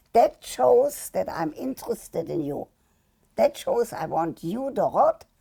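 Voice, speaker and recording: A woman with a fairly high pitch and a dark, mellow tone speaks at a fairly slow pace. Her pitch swings very widely, and there is vocal fry. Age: 80s+. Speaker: sex therapist and media personality. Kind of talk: interview answer.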